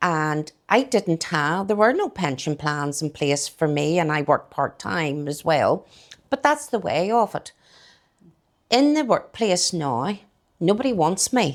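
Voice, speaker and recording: A woman with a fairly low voice speaks at a fairly slow pace, her pitch swinging very widely, on a very clean recording with a silent background. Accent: Northern Irish. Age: 60s. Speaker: small shop owner. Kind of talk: casual interview. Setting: kitchen of her garden shop. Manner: halting.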